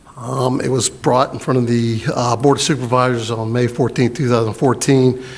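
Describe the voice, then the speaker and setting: The speech runs at a fairly quick pace in a monotone, flat intonation. Noticeable background noise is present. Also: man. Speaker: county planning staff. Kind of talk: public meeting presentation. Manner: loud; halting, many fillers.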